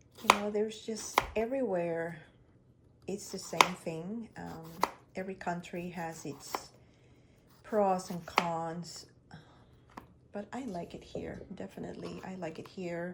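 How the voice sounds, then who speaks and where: Over noticeable background noise, a woman with an Ecuadorian accent speaks at a fairly slow pace with long, frequent pauses, her fairly low pitch in fairly even intonation and her loudness swinging widely. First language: Spanish. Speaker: lifestyle vlogger. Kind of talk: casual vlog narration.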